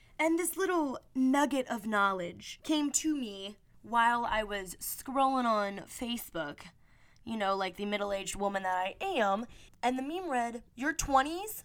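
A woman talks fairly slowly in an animated tone, her high pitch making very wide swings. The recording is very clean, with a silent background. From small town. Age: 20s. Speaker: podcast host. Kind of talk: casual monologue.

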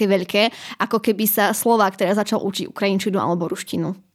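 A woman talks at a very fast pace in a medium pitch. Her pitch varies in an ordinary way. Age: 20s. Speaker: university student. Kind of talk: interview.

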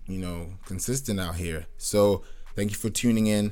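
Here a man talks at a moderate pace with a very deep, low pitch. Audible room echo surrounds his voice. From Nigerian, raised in Kenya and Britain. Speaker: podcast host and music producer. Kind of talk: casual solo monologue. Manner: relaxed, rambling with fillers.

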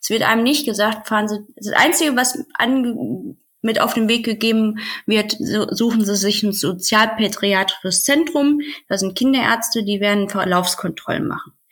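A woman speaks at a moderate pace with a fairly high pitch and ordinary pitch variation. Hers is a plain, everyday voice. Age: 30s. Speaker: podcast guest sharing personal birth story. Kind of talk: personal testimony in interview.

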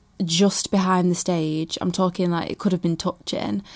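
This woman has a medium pitch and a Mancunian accent, her intonation monotone and flat. It's a very clean recording with a silent background. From Manchester, England. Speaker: singer. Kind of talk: casual chat. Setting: outdoors on holiday in Croatia.

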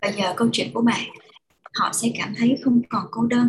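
This is a woman speaking. She goes at a fairly slow pace. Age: younger than 37. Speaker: advice podcast host. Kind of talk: show intro.

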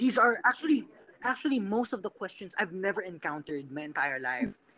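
A man's high-pitched voice has a bright, sharp tone. He moves at a fairly quick pace with very wide pitch swings. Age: 20s. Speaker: guest on casual chat show. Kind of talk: playful casual video chat. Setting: video call.

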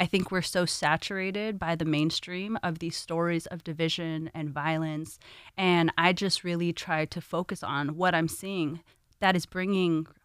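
A moderate pace is kept, with an American accent. The recording is very clean over a silent background. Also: woman. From Los Angeles, California. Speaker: community organizer. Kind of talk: conversation.

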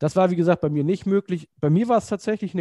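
A man speaks in a dark, mellow tone with ordinary pitch variation. The sound is dry and close with no echo, and the background is quiet. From northern Germany (Kiel). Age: 40s. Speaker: educational centre director of studies, podcast co-host. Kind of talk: casual chat.

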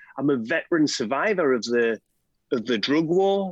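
With a Scottish accent, a man talks at a moderate pace with very wide pitch swings, the sound dry and close with no echo. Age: middle-aged. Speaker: drug reform campaigner. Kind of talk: podcast interview. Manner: talkative.

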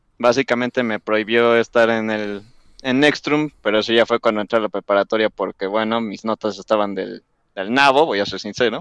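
A man's normal speaking voice at medium pitch, fairly even in intonation and moderate in pace, recorded dry and close with no echo. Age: young. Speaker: YouTuber. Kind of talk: casual chat.

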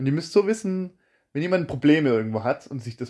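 In a normal speaking voice, a man with a fairly high pitch speaks with lively intonation over a quiet background. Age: 20s. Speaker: podcast host. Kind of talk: casual chat.

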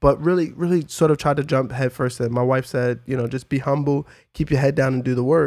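A man's plain, everyday voice at a medium pitch, fairly even in intonation and fairly quick in pace, in a very clean recording with a silent background. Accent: American. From New York City (Brooklyn, Red Hook). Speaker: musician and producer. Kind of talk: casual chat.

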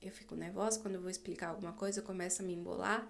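Amid audible room echo, a woman with a medium pitch speaks in a monotone, flat intonation. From Brazil, Distrito Federal. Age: 20s. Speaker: podcaster, literature student. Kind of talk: casual monologue. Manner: halting.

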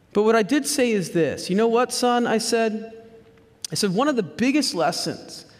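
Audible room echo follows a man who speaks at a moderate pace with lively intonation. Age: 40s. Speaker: pastor. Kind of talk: sermon.

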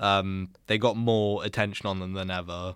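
Speaking in a British accent, a man uses a very deep, low pitch and a monotone, flat intonation. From Britain. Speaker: podcast co-host. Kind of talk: casual chat.

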